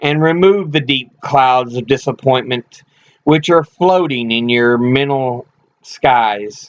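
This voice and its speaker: A man's normal speaking voice, a normal speaking voice at a fairly high pitch, fairly slow, with ordinary pitch variation. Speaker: audiobook-style reader of speeches and writings. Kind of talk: solemn reading of a eulogy sermon.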